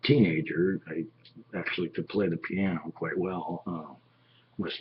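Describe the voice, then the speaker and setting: With an American accent, a man talks at a moderate pace. His tone is animated and somewhat breathy. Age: 50s. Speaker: vlogger. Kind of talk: casual monologue.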